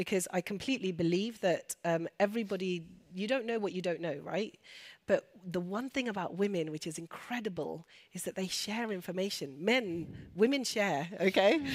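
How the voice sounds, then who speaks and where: On a very clean recording with a silent background, a woman speaks at a moderate pace in a medium pitch with ordinary pitch variation. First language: Urdu and Punjabi. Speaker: doctor and women's health speaker. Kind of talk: panel Q&A discussion. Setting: stage with audience.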